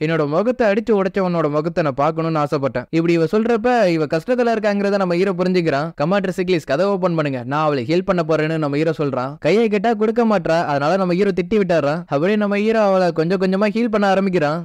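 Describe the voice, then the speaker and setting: Pitched high, a man speaks with ordinary pitch variation and very even loudness. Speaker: story recap narrator. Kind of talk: casual anime story recap narration.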